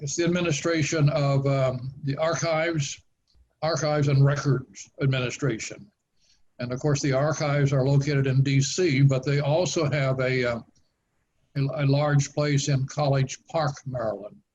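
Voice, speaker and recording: The man's voice is somewhat breathy, with a fairly high pitch. He speaks at a moderate pace in a monotone, flat intonation. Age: 90s. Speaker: author. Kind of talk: interview. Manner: halting.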